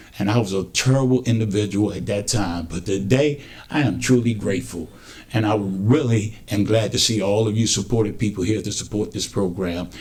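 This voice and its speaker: A man speaks at a fairly quick pace with a fairly low pitch and ordinary pitch variation. His voice sounds somewhat breathy. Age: 60s. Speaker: community member in recovery. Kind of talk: testimony.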